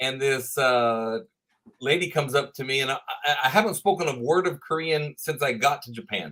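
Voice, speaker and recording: The voice carries a Texan accent, a bright, sharp tone and ordinary pitch variation. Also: man. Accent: Texan, with some y'all. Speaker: professor. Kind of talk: interview.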